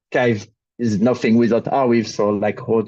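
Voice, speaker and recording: A man with a French accent and a dark, mellow tone speaks at a moderate pace with ordinary pitch variation, recorded dry and close with no echo. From France. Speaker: crypto project ecosystem lead. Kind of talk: panel introduction.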